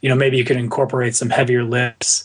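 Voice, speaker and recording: A man speaks somewhat breathily against a quiet background. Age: 30s. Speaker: endurance coach. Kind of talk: interview. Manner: halting.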